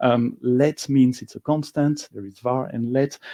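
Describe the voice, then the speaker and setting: The voice has a dark, mellow tone and a slight French accent. Its pitch variation is ordinary, and the sound is dry and close with no echo. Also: man. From Belgium. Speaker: software engineer and conference speaker. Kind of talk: conference talk. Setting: stage with live audience, also streamed. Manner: hesitant, frequent uh and um.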